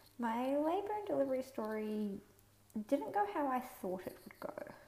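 A woman speaks at a moderate pace with a New Zealand accent. Noticeable background noise sits behind her. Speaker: podcaster sharing birth story. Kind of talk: personal story monologue.

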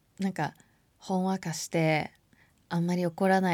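On a very clean recording with a silent background, a woman talks at a moderate pace in a dark, mellow tone with a fairly low pitch. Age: 30s. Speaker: podcast host. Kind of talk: casual monologue.

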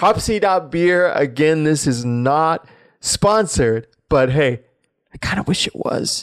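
A normal speaking voice moves at a fairly slow pace with lively intonation. The recording is very clean, with a silent background. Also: man, fairly high pitch for a man. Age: 20s. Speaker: podcast host. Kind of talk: casual solo commentary.

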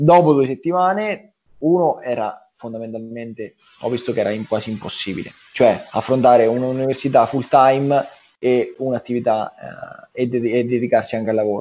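A man speaks at a moderate pace with ordinary pitch variation. His pitch sits in the medium range. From Marche, Italy (small village). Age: 20s. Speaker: pizzeria entrepreneur. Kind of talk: casual interview chat. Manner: halting, many repetitions and fillers.

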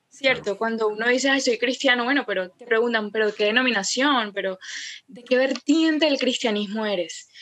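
This woman's voice sits high and moves at a moderate pace. Its pitch varies in an ordinary way. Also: big swings in loudness. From Colombia, Cartagena. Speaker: feminist theology content creator. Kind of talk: casual interview chat.

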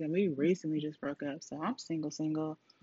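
A woman with a very deep, low pitch speaks at a fairly quick pace. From California. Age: 30s. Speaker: podcast host. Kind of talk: casual monologue. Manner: rambling, casual.

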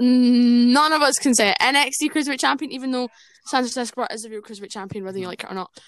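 With a Scottish accent, a woman talks at a very fast pace in a high, animated voice with ordinary pitch variation and big swings in loudness. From Scotland. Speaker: wrestling podcast host. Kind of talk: casual chat.

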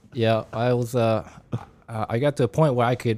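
In a normal speaking voice, a man with an American accent talks at a moderate pace and a medium pitch. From Japan, then Washington State from age nine. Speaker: amateur marathon runner and automotive engineer. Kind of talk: casual chat.

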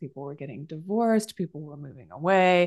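Her pace is fairly quick as this woman speaks. The background is quiet. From US West Coast, San Jose, California. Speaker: writer and yoga teacher. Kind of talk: interview. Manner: halting, with frequent restarts.

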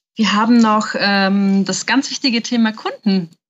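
Somewhat breathy, a woman speaks at a fairly slow pace and fairly high pitch with ordinary pitch variation. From Nuremberg, Germany. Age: 20s. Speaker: podcast co-host, designer. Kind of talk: casual podcast chat.

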